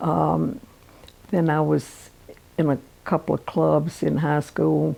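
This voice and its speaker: This woman has a Virginia accent. Noticeable background noise runs behind her. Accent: Southern US (Virginia). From Norfolk, Virginia. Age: 80s+. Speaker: pianist and piano teacher. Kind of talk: life story interview answer.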